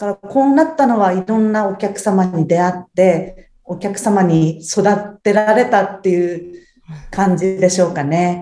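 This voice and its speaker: A woman speaks at a medium pitch. Her tone is dark and mellow, with ordinary pitch variation. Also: fairly slow pace. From Japan, Ibaraki (Tsuchiura). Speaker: house cleaning service manager. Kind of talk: interview.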